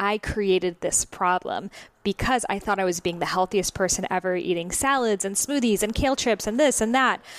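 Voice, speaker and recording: A woman's unremarkable speaking voice at a medium pitch, moderate pace, ordinary pitch variation and very even loudness. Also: dry, close sound with no echo. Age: 20s. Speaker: Ayurveda author and podcast host. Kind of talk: interview. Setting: recorded at her home.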